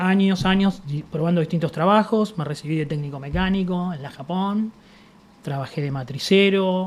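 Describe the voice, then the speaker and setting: A man with a Buenos Aires accent, high-pitched, at a moderate pace with ordinary pitch variation. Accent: Rioplatense Spanish (Buenos Aires). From Argentina, Buenos Aires (La Boca). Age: 50s. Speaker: industrial sculptor. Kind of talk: interview, personal storytelling. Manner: casual, conversational.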